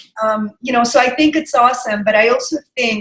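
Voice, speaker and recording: A woman with a slight Russian accent speaks in a bright, sharp tone. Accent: slight Russian accent with American English. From Russia, Saint Petersburg. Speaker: digital wellness practitioner. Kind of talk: casual interview chat.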